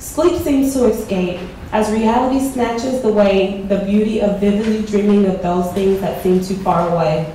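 A woman speaks at a moderate pace with a medium pitch and ordinary pitch variation. Light background noise sits under strong room echo. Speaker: poet. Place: hall.

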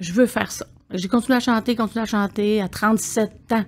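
A woman with a fairly high, somewhat breathy voice talks at a moderate pace. Her intonation stays flat and monotone. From Quebec. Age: 60s. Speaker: singer and palliative care attendant; podcast guest. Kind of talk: podcast interview. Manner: halting, repeats words. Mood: warm, reflective. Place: studio. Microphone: studio mic.

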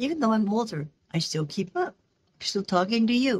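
Her voice is somewhat breathy. The woman speaks at a fairly quick pace with lively intonation. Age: 80s+. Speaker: missionary and English teacher. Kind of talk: interview answer. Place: office. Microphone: video call.

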